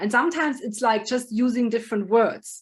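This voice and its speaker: A woman speaks with a German accent and ordinary pitch variation. The recording is very clean, with a silent background. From Germany. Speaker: project manager and business consultant. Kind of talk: podcast interview. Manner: animated.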